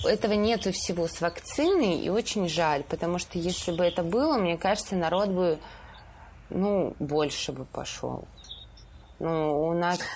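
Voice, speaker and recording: Pausing long and often, a woman speaks at a fairly slow pace in a fairly low pitch with ordinary pitch variation. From Stavropol region, southern Russia. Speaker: photo editor at a news agency. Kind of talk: casual chat.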